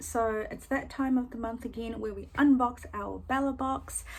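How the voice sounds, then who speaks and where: In a New Zealand accent, a woman with a high pitch speaks at a moderate pace and fairly even intonation. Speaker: beauty YouTuber. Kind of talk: product unboxing review. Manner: little lip movement, slightly impeded; casual with many fillers.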